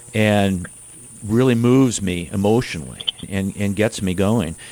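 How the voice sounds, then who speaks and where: A man talks at a fairly slow pace in a fairly low pitch. He has a plain, everyday voice. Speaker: radio host. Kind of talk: radio interview.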